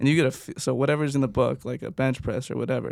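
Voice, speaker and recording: In an unremarkable speaking voice, a man talks at a fairly quick pace and medium pitch with fairly even intonation, in a very clean, dry, close recording with no echo and a silent background. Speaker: personal trainer.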